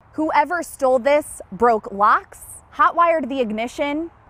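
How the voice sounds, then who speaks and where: With lively intonation and a high pitch, a woman speaks at a moderate pace. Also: dry, close sound with no echo. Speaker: TV news reporter and anchor. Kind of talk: TV news report.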